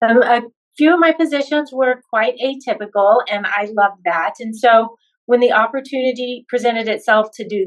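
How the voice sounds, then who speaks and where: A woman sounds enthusiastic, speaking at a moderate pace. Her voice is fairly high with ordinary pitch variation. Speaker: pharmacist and medical recruiter. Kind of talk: casual interview chat.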